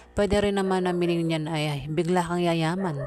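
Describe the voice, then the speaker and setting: The voice has fairly even intonation, with noticeable background noise. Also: woman. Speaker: tarot card reader. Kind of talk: tarot reading. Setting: noisy home surroundings. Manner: halting.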